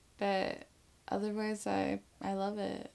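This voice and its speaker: The accent is American. It belongs to a woman. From US South, Atlanta, Georgia. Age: 20s. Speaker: model. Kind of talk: interview answers. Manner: casual, filler-heavy. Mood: relaxed, smiling. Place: home room.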